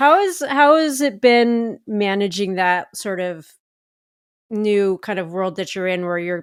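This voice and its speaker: On a very clean recording with a silent background, a woman speaks at a fairly slow pace in an ordinary speaking voice with a medium pitch. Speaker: podcast host, runner. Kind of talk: podcast conversation.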